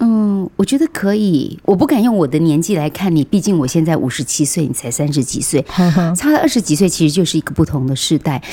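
The speaker moves at a fairly quick pace, with lively intonation and a dark, mellow tone. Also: woman, fairly low pitch for a woman. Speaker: veteran media personality and radio broadcaster. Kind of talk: interview about caregiving.

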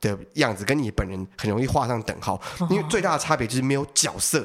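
Very fast and full of lively intonation, a man speaks in a medium pitch in a very clean recording with a silent background. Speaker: stand-up comedian. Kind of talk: casual chat.

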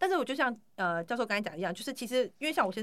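A woman talks at a very fast pace. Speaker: podcast host and bakery owner. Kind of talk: interview.

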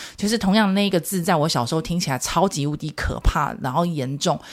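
On a very clean recording with a silent background, a woman with a fairly low pitch talks at a fairly quick pace with lively intonation. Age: 40s. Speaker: parenting podcast host, mother of twins. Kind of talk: casual solo podcast monologue. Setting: recording studio. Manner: animated.

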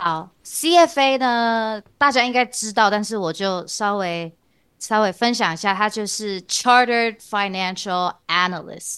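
Against a quiet background, a woman speaks at a very slow pace in a fairly high voice with a bright, sharp tone and lively intonation. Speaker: CFA candidate and university teaching assistant. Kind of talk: interview. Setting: remote video recording.

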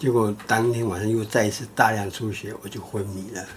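Somewhat breathy male speech with a Taiwanese accent, medium in pitch and moderate in pace. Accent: Taiwanese Mandarin. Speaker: doctor and podcast co-host. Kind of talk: casual chat. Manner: halting.

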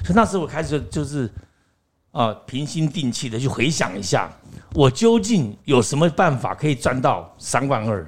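A man's fairly high, somewhat breathy voice at a moderate pace, with very wide pitch swings. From Taiwan. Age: 60s. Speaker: actor and acting teacher. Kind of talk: interview storytelling. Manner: animated.

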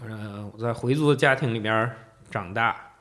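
The man talks at a moderate pace with ordinary pitch variation. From Beijing, China. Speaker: Islamic art expert and tour guide. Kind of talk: casual interview. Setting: studio.

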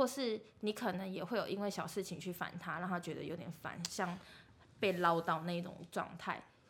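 A woman's voice is somewhat breathy and fairly low in pitch. She speaks at a moderate pace. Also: ordinary pitch variation. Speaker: podcast co-host. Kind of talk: casual chat.

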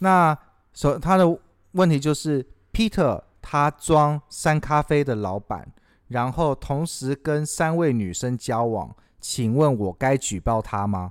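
The recording is very clean with a silent background. The speaker goes at a very slow pace with lively intonation. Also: man, fairly high pitch for a man. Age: 30s. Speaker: podcast host, café owner. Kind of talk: casual chat.

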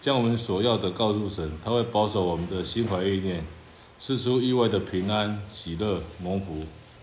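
Heard with audible room echo, a man talks at a moderate pace, his fairly low pitch rising and falling in ordinary ways. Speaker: church member. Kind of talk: reading aloud.

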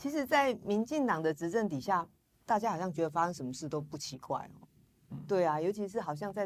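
Featuring an ordinary speaking voice, a woman with a fairly low pitch speaks at a fairly quick pace with lively intonation. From Taiwan, Yilan (Luodong). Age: 40s. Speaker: politician, parliamentary candidate. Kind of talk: interview.

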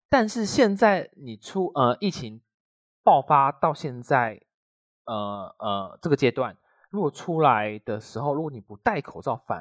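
On a very clean recording with a silent background and a dry, close sound with no echo, a man speaks at a fairly slow pace in a fairly high pitch. His voice shows very wide pitch swings and big swings in loudness. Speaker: podcast co-host. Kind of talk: casual chat. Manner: slurred, mixes up an/ang sounds.

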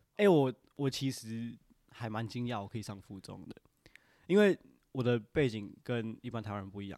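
With a dark, mellow tone at medium pitch, a man speaks at a moderate pace with ordinary pitch variation, big swings in loudness and long, frequent pauses. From Taiwan (Indian family, since age 3). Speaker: podcast guest. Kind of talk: casual chat.

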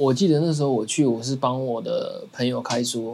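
An ordinary speaking voice, a man's fairly high pitch with ordinary pitch variation at a fairly quick pace. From Taiwan. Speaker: podcast co-host. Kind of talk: casual chat.

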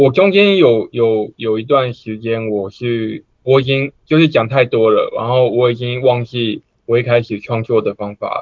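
At a fairly slow pace with hardly any pauses, a man speaks at a medium pitch with ordinary pitch variation. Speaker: amateur stand-up comedian. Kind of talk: casual chat.

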